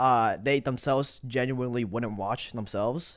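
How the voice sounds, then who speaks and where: On a very clean recording with a silent background, a man with a normal speaking voice talks at a medium pitch and a fairly quick pace. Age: 20s. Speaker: YouTuber making documentaries. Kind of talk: casual interview.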